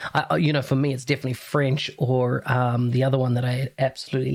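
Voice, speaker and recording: A man's somewhat breathy, medium-pitched voice in a New Zealand accent, with monotone, flat intonation. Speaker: podcast host. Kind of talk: podcast interview.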